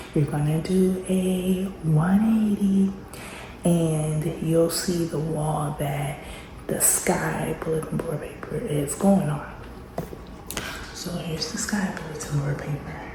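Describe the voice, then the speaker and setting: A woman whispering at a very slow pace with long, frequent pauses, amid noticeable background noise and audible room echo. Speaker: homeschooling mom vlogger. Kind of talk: casual vlog narration. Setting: home classroom.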